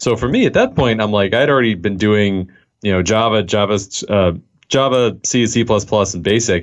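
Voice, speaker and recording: A man with a Californian accent, a fairly low pitch, fairly even intonation, a moderate pace and very even loudness, over a quiet background. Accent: General American (Californian). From US West Coast, Los Angeles. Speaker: software developer. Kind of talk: interview.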